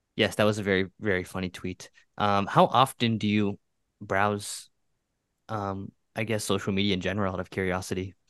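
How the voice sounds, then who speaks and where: A man talks at a fairly quick pace in a monotone, flat intonation, with dry, close sound, no echo and a quiet background. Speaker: podcast co-host. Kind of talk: casual chat.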